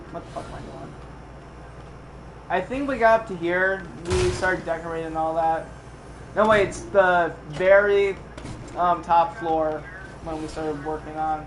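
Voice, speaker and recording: A man's high-pitched voice at a moderate pace with long, frequent pauses, amid audible room echo and noticeable background noise. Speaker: gaming streamer. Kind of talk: live stream walkthrough. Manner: casual, profane.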